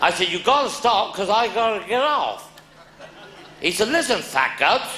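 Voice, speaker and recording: A man with a Cornish accent, extremely high pitch and lively intonation, at a moderate pace over noticeable background noise. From Cornwall. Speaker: comedian. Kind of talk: live stand-up comedy storytelling.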